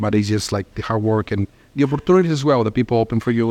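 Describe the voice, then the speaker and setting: A man talks at a very fast pace in a Spanish accent. His pitch sits at a medium level. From Mexico, small town. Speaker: restaurant owner. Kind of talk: interview. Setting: on location in restaurant.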